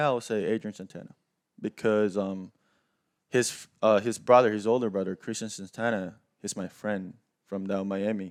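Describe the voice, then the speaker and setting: A man with a Korean accent, fairly low in pitch, at a moderate pace with fairly even intonation. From South Korea. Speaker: professional baseball player. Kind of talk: podcast interview.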